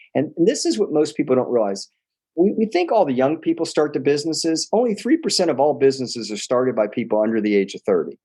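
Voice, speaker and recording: A man with a fairly high pitch and a dark, mellow tone with vocal fry speaks very fast with very wide pitch swings over a quiet background. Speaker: entrepreneur. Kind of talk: interview. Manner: animated.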